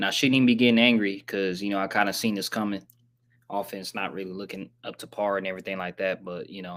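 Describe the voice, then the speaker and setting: Speaking very fast in a fairly low pitch, a man delivers monotone, flat intonation with big swings in loudness on a very clean recording with a silent background. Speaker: sports streamer. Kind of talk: casual live recap. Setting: live stream with screen share. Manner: casual, slangy.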